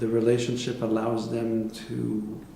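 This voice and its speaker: Over noticeable background noise and audible room echo, a man with a French Canadian accent talks at a very slow pace, with medium pitch and fairly even intonation. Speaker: psychotherapist and professor. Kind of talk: interview. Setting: conference. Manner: halting.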